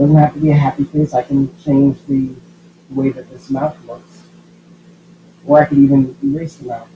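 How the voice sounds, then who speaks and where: This man has a fairly high, somewhat breathy voice with a dark, mellow tone. He speaks at a moderate pace in a monotone, flat intonation. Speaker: schoolteacher. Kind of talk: tutorial.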